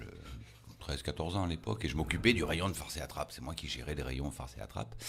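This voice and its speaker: A man rushes along at a very fast pace. His voice is very deep and low, with vocal fry. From Provence, Toulon area. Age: 60s. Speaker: magician. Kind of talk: interview.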